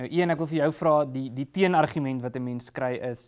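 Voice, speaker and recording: Fairly even intonation against a quiet background. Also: man. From South Africa. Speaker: podcast host. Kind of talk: interview. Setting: studio. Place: studio. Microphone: lapel.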